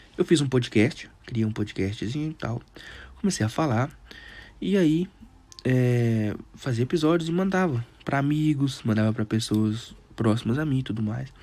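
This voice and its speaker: A man speaks at a medium pitch with a dark, mellow tone. His pace is fairly slow, and his intonation is lively. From Brazil, Teófilo Otoni, Minas Gerais. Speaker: podcast host. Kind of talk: casual monologue. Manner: halting.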